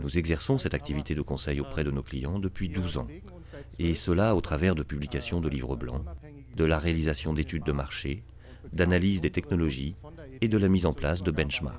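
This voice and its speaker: Speaking at a fairly quick pace, a man with a very deep, low pitch uses ordinary pitch variation. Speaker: consultancy founder presenting at a conference. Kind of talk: business presentation. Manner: formal.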